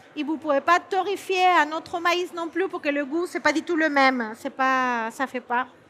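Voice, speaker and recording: A woman with a Peruvian accent uses a raised, projected voice, high in pitch with a bright, sharp tone. She moves at a fairly slow pace with ordinary pitch variation. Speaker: chef. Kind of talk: cooking demonstration. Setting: stage with audience. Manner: halting.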